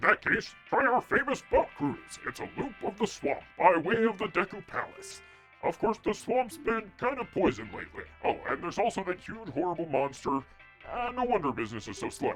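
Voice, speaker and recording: Clear music plays in the background as a man uses a put-on character voice pitched high. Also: moderate pace. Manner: pitching, upbeat.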